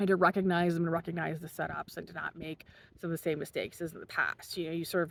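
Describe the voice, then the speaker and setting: A woman is speaking. Her pace is very fast. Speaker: commentary vlogger. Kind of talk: casual monologue. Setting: outdoors.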